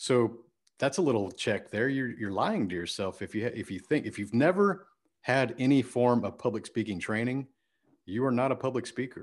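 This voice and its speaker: In an American accent, a man speaks at a medium pitch and a moderate pace with lively intonation. The background is quiet. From Texas, Houston area. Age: 40s. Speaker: entrepreneur and coach. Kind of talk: interview. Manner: animated.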